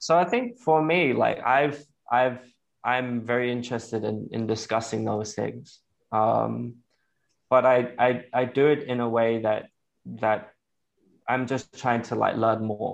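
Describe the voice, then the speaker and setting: A man with an English accent speaks at a fairly slow pace, his medium-pitched voice following a fairly even intonation. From England. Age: 30s. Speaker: vegan activist and nonprofit founder. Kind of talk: interview. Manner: halting.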